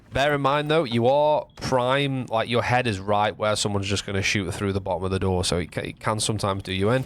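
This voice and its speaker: A man with a northern English accent and a fairly low pitch, at a very fast pace with hardly any pauses and ordinary pitch variation. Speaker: gaming guide youtuber. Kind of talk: tutorial.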